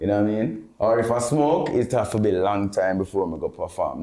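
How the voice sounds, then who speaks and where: He speaks with a Jamaican accent in a fairly low pitch. His tone is dark and mellow. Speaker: dancehall artist and producer. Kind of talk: interview. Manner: halting.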